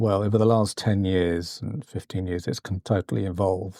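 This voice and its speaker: The recording is very clean, with a silent background. A man's dark, mellow tone unfolds at a fairly slow pace. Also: dry, close sound with no echo. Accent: British. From Britain. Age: 60s. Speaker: podcast host. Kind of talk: podcast interview. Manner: halting, many fillers and repeats.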